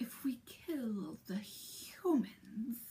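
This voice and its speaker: Using a put-on character voice, a woman speaks at a fairly high pitch with lively intonation. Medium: read story. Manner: menacing.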